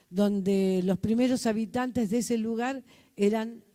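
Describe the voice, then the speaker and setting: A woman's dark, mellow tone at a fairly slow pace. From Argentina, Buenos Aires. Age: 70s. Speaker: community organizer. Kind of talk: conference talk. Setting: hybrid conference with audience.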